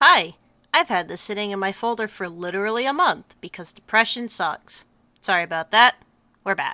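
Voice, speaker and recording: A woman with a medium-pitched, bright and sharp voice speaks at a moderate pace with lively intonation and big swings in loudness, recorded very cleanly with a silent background and a dry, close sound free of echo. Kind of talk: casual gameplay commentary.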